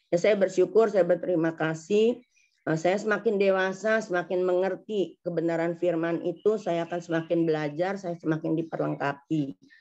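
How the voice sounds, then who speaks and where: Her tone dark and mellow, a woman speaks at a moderate pace with fairly even intonation and a fairly low pitch. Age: 60s. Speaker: congregation member giving testimony. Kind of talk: testimony. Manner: halting.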